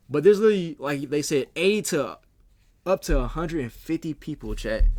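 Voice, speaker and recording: A man talks at a fairly quick pace. The recording is very clean and the background silent. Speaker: streamer reacting to videos. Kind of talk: live stream reaction commentary. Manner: fast; animated.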